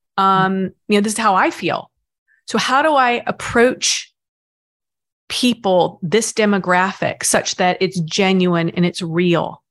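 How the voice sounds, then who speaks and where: In an American accent and with lively intonation, a woman speaks at a very slow pace and a medium pitch against a quiet background. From US South. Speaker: finance executive. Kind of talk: interview. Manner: halting.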